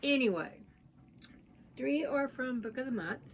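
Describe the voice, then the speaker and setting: A somewhat breathy woman with an American accent speaks at a moderate pace. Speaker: book vlogger. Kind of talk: casual chat.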